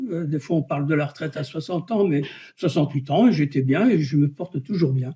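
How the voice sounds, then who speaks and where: A man's fairly high, somewhat breathy voice with a dark, mellow tone over a quiet background. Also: ordinary pitch variation. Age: 70s. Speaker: retired engineer, local election candidate. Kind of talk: interview.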